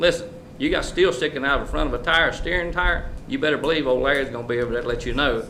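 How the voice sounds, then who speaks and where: Speaking very fast with a North Carolina accent, a man uses ordinary pitch variation. Audible room echo and noticeable background noise are present. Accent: North Carolina Southern. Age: 70s. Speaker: mayor. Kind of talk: public comment response at council meeting. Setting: council chamber. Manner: loud.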